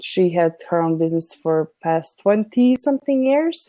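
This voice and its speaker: A woman's medium-pitched, dark, mellow voice at a moderate pace, dry and close with no echo. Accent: non-native. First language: not English. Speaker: business consultant. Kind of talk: conversational interview discussion.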